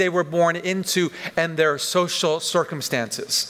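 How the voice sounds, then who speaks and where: A man is talking. He speaks in a high register. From western Canada, Vancouver. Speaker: pastor. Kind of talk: sermon. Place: church. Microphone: headset.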